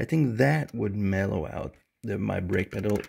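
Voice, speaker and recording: Light background noise sits under the recording. A man speaks at a moderate pace with a fairly low pitch. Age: 40s. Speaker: DIY video maker. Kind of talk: tutorial. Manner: casual, hesitant with many fillers. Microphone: phone near.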